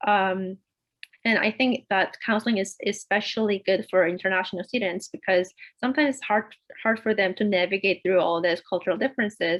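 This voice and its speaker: Speaks with a Korean accent at a moderate pace. The intonation stays fairly even. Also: woman. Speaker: PhD student panelist. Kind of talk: panel discussion.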